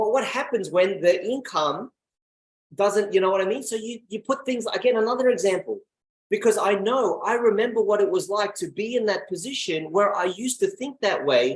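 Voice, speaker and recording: A man's high-pitched, animated voice with ordinary pitch variation. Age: 30s. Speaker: network marketing presenter. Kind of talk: motivational talk. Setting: video call. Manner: fast.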